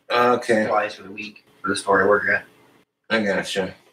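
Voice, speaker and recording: Over light background noise and audible room echo, a man talks at a moderate pace with a fairly low pitch and ordinary pitch variation. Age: 20s. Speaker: stream guest. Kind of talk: casual chat. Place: home room. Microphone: camera far.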